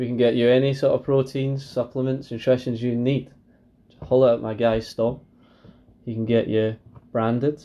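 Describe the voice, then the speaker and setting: A man with a dark, mellow tone and medium pitch talks in a monotone, flat intonation at a moderate pace, leaving long, frequent pauses. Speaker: podcast co-host. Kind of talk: casual chat.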